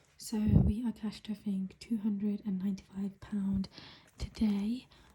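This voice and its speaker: A quiet voice speaks with a British accent. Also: moderate pace. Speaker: budgeting vlogger. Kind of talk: casual vlog. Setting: at home early morning.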